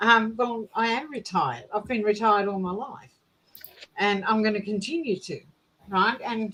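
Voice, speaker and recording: This woman talks at a fairly slow pace, her fairly high voice bright and sharp in tone. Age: 60s. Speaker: book discussion group member. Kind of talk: group discussion.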